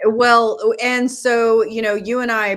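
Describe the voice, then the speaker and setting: There is noticeable background noise. Through it, a woman speaks in a Southern US accent. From US South, North Carolina. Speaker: podcast co-host. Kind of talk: casual chat.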